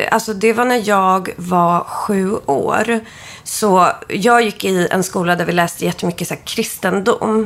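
A woman speaks fairly slowly in a normal speaking voice. Her pitch is medium, with ordinary pitch variation. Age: 30s. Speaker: witch and astrology reader. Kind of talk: astrology reading; casual chat.

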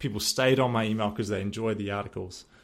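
A man with a New Zealand accent, medium pitch and ordinary pitch variation. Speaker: podcast host and former real estate agent. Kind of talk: solo podcast monologue.

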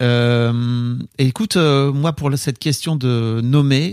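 Medium-pitched male voice, fairly even intonation. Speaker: podcast co-host. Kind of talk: casual chat.

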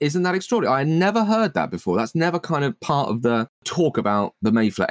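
A man talks at a fairly quick clip in an animated tone, his pitch swinging very widely, recorded dry and close with no echo. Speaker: podcast co-host. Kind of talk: casual comedic chat. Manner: jokey, animated.

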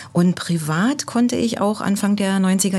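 In a normal speaking voice, the speaker talks at a moderate pace with ordinary pitch variation. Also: woman. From East Germany. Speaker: embassy cultural staff member. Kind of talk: podcast interview.

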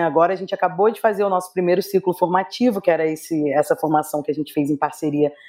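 A woman's dark, mellow tone at a fairly quick pace, on a very clean recording with a silent background. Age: 30s. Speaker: nonprofit executive director and researcher. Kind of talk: interview.

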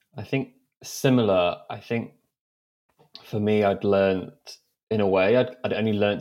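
This man has a plain, everyday voice, fairly low in pitch, with fairly even intonation at a moderate pace. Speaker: mental health advocate guest. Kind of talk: casual interview chat.

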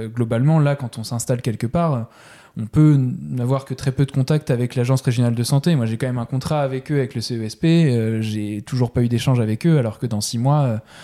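Ordinary pitch variation marks this man's medium-pitched voice as he talks at a fairly quick pace. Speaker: general practice resident doctor. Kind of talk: interview conversation. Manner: halting, many fillers and repetitions.

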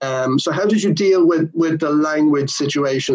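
An ordinary speaking voice with fairly flat intonation, at a middling pace. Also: man. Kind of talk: interview.

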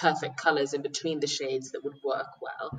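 Over music in the background, a woman with a very deep, low pitch talks at a fairly quick pace. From UK and Nigeria. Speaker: podcast guest on beauty. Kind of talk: casual interview.

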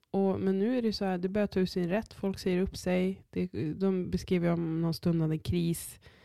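A woman speaks in a dark, mellow tone. Her pitch sits fairly low, and her intonation stays fairly even. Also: very even loudness. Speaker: podcast co-host, parent of three. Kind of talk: casual chat.

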